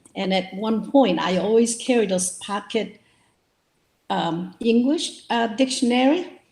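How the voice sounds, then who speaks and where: Somewhat breathy and fairly high-pitched, a woman with a Korean accent speaks at a fairly slow pace with lively intonation. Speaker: novelist. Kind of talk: interview. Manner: hesitant, with fillers.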